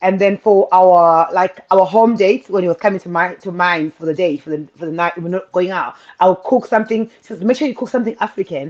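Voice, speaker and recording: A woman speaks with a Zimbabwean accent at a fairly quick pace. Her pitch is medium, with ordinary variation. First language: Shona. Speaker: guest sharing interracial marriage experience. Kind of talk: casual chat.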